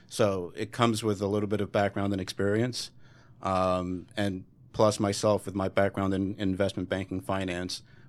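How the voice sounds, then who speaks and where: A man with an ordinary speaking voice, fairly low in pitch, at a moderate pace on a very clean recording with a silent background. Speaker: cosmetology educator. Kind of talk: radio interview. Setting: studio. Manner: casual, upbeat.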